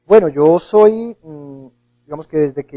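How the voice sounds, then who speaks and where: This is a man speaking. He talks with a Bogotá accent. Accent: Bogotá Colombian Spanish. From Colombia, Bogotá. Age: 30s. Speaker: writer. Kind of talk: TV interview.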